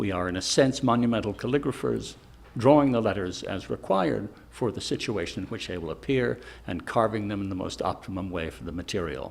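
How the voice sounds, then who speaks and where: With an American accent and lively intonation, a man talks at a fairly quick pace with vocal fry, on a very clean recording with a silent background. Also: fairly low pitch for a man. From US Northeast, Newport, Rhode Island. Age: 70s. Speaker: retired stone carver. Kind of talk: documentary interview monologue.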